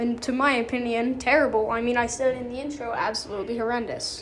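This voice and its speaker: Soft-spoken and monotone, with flat intonation, the voice moves at a moderate pace amid audible room echo. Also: woman. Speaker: gaming YouTuber. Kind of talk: casual tier-list commentary. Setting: bathroom of a karate school. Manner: hesitant, many fillers.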